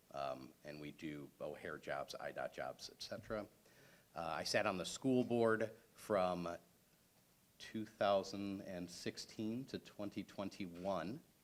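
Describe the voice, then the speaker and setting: A man speaks with a Chicago accent at a fairly low pitch. His pace is very slow and his intonation lively. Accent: Chicago-area American. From Chicago area, Illinois. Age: 40s. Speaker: political candidate, civil engineer. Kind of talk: candidate forum speech.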